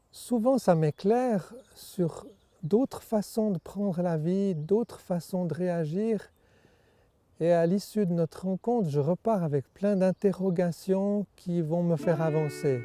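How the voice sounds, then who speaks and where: A dark, mellow tone at a very slow pace with ordinary pitch variation, in a dry, close sound with no echo. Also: man, high pitch for a man. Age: 60s. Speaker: men's group member. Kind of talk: personal testimony.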